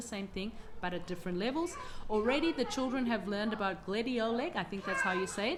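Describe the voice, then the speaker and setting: Someone speaks with an Australian accent and a warm, enthusiastic tone. Noticeable background noise and audible room echo surround the voice. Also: woman. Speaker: homeschooling mother and channel host. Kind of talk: casual vlog chat. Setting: at home with children around. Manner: fast.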